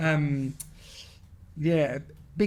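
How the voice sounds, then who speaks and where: A somewhat breathy, fairly high-pitched man's voice in an Argentine accent, in a very clean recording with a silent background. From Argentina. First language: Spanish. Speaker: padel business founder. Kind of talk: podcast interview. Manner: halting, with frequent repetitions.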